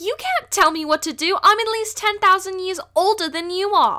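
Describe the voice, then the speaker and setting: Using a put-on character voice, a female-sounding speaker goes at a moderate pace with an extremely high pitch. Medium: dub. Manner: angry, slurred.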